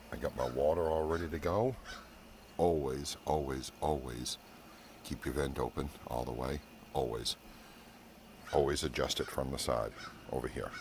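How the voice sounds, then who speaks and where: A man whispers quietly at a moderate pace with long, frequent pauses. Background noise is noticeable. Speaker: barbecue cooking YouTuber. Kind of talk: casual cooking vlog. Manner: hushed, trying to whisper.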